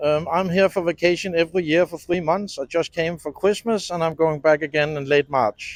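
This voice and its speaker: Fairly even intonation at a moderate pace, with hardly any pauses and a dry, close sound with no echo. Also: man, high pitch for a man. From Denmark, Copenhagen. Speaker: tourist interviewee. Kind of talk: street interview.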